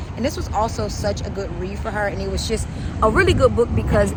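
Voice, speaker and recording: Speaking at a fairly quick pace, a woman is heard with audible room echo. Background noise is noticeable. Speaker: lifestyle vlogger. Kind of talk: casual vlog. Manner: whispering.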